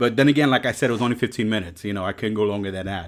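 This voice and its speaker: A man of fairly low pitch with a New York accent, on a very clean recording with a silent background. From New York City. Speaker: reptile breeder and YouTuber. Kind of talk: live stream talk. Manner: casual, filler-heavy.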